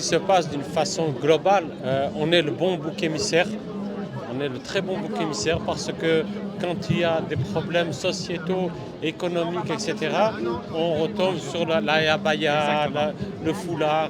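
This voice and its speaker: There is noticeable background noise and audible room echo. A man speaks at a fairly slow pace with a high pitch. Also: ordinary pitch variation. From France (Marseille). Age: 60s. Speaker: protester interviewed at a rally. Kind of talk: street interview.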